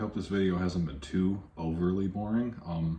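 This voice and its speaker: A man talks at a fairly quick pace with fairly even intonation. His voice is very deep, low, dark, mellow and somewhat breathy. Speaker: vlogger. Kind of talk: casual vlog. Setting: at work.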